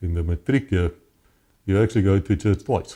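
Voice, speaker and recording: Somewhat breathy, with a dark, mellow tone, a man with a very deep, low pitch and a South African accent speaks at a fairly quick pace. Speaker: former police officer. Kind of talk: interview testimony. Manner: halting.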